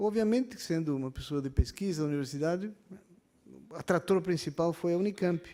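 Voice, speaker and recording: Against a silent background on a very clean recording, a man talks fairly quickly at a high pitch with a dark, mellow tone and ordinary pitch variation. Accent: Argentine. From Argentina, Buenos Aires. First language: Spanish (speaking Portuguese). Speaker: university professor. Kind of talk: public hearing speech. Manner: hesitant, many fillers.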